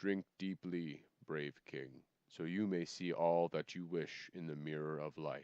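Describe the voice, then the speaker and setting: A soft-spoken, put-on character voice at a fairly slow pace, with fairly even intonation and a dry, close sound with no echo. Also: man, very deep, low pitch for a man. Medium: read story. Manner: soft-spoken, grave.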